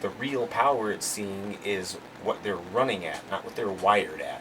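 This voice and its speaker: Noticeable background noise sits behind this voice. A man speaks at a fairly low pitch. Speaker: car audio amplifier tester, YouTuber. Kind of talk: tutorial. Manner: halting, many fillers.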